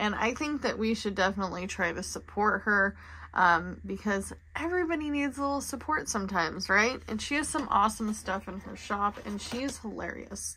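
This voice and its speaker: A woman's bright, sharp voice at a moderate pace, with lively intonation over light background noise. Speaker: budgeting creator. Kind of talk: casual vlog chat. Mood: chatty, then a bit discouraged. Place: home room. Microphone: phone near.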